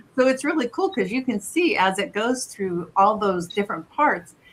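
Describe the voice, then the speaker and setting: A woman speaks fairly slowly at a medium pitch with ordinary pitch variation, over noticeable background noise. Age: 60s. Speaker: wellness scan provider. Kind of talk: casual chat.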